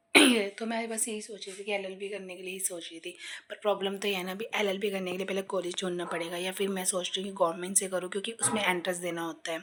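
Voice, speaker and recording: Speaking very fast, a woman holds a medium pitch in a monotone, flat intonation. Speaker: vlogger. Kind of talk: casual vlog talk. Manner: rambling, hesitant.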